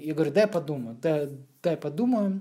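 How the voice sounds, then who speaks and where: A woman speaks with a dark, mellow tone. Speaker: graphic designer, former rapper. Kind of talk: casual chat.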